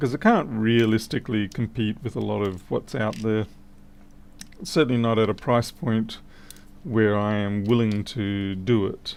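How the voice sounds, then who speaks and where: With an Australian accent, a man speaks at a fairly slow pace. His pitch is fairly low, with ordinary variation. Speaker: electronics repair technician. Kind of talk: livestream repair commentary.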